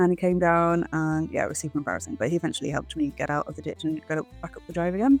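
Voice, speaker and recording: Someone with a British accent talks at a very fast pace over music in the background. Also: woman. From England. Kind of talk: casual travel vlog narration.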